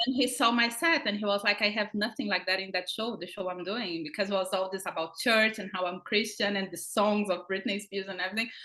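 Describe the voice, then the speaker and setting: A woman with a strong Brazilian accent races along at a very fast pace with hardly any pauses, her medium pitch showing ordinary variation. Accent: thick Brazilian Portuguese. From Brazil, countryside. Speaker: comedian and actress. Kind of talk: interview. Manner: animated.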